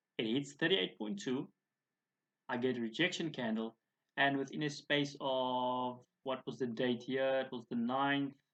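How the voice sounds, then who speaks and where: The pace sits in the middle range, and the pitch rises and falls in a normal way. What you hear is an ordinary speaking voice. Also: man, medium pitch for a man. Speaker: forex trading educator. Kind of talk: tutorial.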